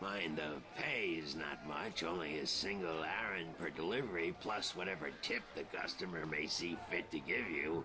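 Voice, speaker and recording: Loud background noise sits behind a man doing a put-on character voice, very deep and low in pitch. He keeps a very even loudness and hardly pauses at all. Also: moderate pace. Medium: game stream. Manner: gruff, grumbling.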